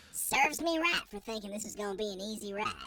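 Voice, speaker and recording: The speaker uses a put-on character voice with a fairly high pitch. Delivery comes at a very fast pace. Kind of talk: cowboy talk. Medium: actual play. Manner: folksy.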